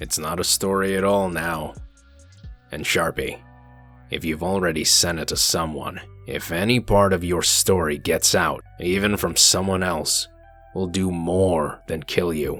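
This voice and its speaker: A man uses a put-on character voice, raspy and very deep in pitch, at a moderate pace. Music plays in the background. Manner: stern, threatening.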